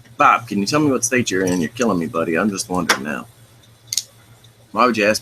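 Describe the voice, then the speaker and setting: A man with an American accent, fairly low pitch and lively intonation, at a very fast pace with long, frequent pauses, over noticeable background noise. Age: 30s. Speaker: livestream host. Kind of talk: casual chat with live viewers.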